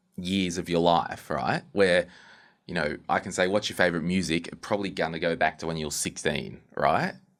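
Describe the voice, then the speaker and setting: A very clean recording with a silent background captures a speaker with an Australian accent, fairly even intonation, and a moderate pace. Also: man, very deep, low pitch for a man. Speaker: podcast host. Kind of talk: interview.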